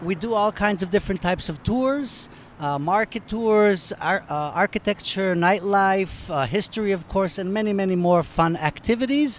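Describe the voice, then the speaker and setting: Here's a man with an American accent and a high pitch, his tone enthusiastic. He keeps a moderate pace with hardly any pauses and ordinary pitch variation. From half American, half Polish, lives in Tel Aviv. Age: 40s. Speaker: tour guide and tour company owner. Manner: enthusiastic, frequent "uh" fillers.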